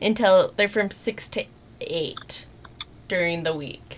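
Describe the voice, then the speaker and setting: A woman talks fairly slowly with lively intonation as noticeable background noise carries on. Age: 30s. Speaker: podcast co-host. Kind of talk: casual chat.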